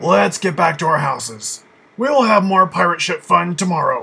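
A cartoonish character voice at a moderate pace. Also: man, high pitch for a man. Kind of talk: cartoon character dialogue.

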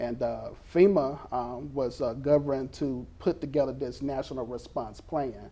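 A man with an Alabama accent talks at a fairly slow pace in a dark, mellow tone, his intonation fairly even. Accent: US Southern (Alabama). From Mobile, Alabama. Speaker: school resource officer. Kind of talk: interview. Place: studio. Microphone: lapel.

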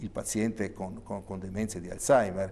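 A man speaks in a dark, mellow tone. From Trentino, northern Italy. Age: 60s. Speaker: neurologist; guest. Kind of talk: TV interview. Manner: hesitant. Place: studio. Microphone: lapel.

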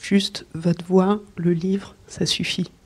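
A woman speaks at a fairly low pitch. Her voice is somewhat breathy, with a dark, mellow tone. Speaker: children's author and illustrator. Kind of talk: talk at a literary event. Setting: book fair talk before an audience. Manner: hesitant, with fillers.

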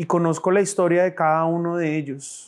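A man's high-pitched voice, monotone and flat in intonation, at a moderate pace over a quiet background. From Colombia, born in Bogotá, raizal family from San Andrés; Colombia. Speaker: political candidate; candidate. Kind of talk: campaign speech. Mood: earnest, calm, faith-tinged. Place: studio. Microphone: lapel.

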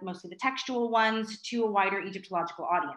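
A woman speaks against a quiet background. Audible room echo surrounds her voice. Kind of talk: lecture. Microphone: video call.

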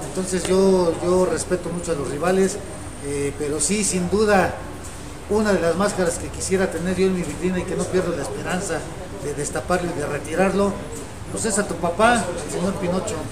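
A man's fairly level intonation comes through amid noticeable background noise. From Mexico City. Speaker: masked wrestler and arena promoter. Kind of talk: interview. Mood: confident, respectful challenge talk. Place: studio.

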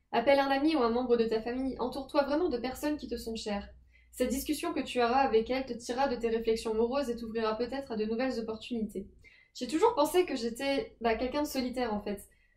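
A woman speaks at a very fast pace with a high pitch and fairly even intonation. The background is quiet. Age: 20s. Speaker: personal development youtuber. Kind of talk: advice talk to camera.

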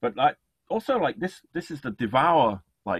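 Big pitch swings from a man's medium-pitched voice with a slightly husky edge at a moderate pace, dry and close with no echo

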